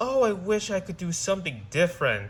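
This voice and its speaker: A man uses a put-on character voice at a high pitch. Light background noise can be heard. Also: fairly quick pace. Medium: read story.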